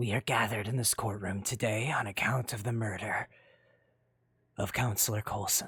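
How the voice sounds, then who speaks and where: A put-on character voice from a man, raspy and fairly low-pitched, at a moderate pace with long, frequent pauses, on a very clean recording with a silent background. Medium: machinima. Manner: formal, stern, authoritative.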